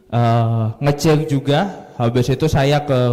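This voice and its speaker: A man speaks at a fairly high pitch with ordinary pitch variation over noticeable background noise. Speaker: MUN coach, event emcee. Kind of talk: event emcee talk to audience.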